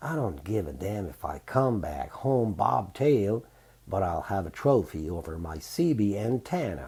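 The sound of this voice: The reading voice is unforced, and the intonation rises and falls in a lively way.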